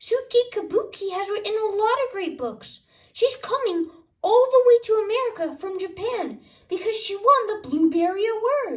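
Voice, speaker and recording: A woman's put-on character voice at an extremely high pitch and a moderate pace. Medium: read story. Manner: upbeat, explaining.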